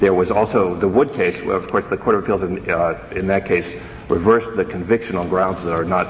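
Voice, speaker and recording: A man with a very deep, low pitch and ordinary pitch variation, at a fairly quick pace, over noticeable background noise. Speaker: government attorney. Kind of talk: appellate oral argument. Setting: courtroom. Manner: formal.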